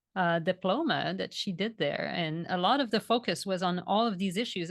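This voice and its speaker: A woman with a Quebec accent, medium in pitch with ordinary pitch variation, at a fairly quick pace, in a dry, close sound with no echo over a quiet background. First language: French. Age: 40s. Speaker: vegan food educator and author. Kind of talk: podcast interview.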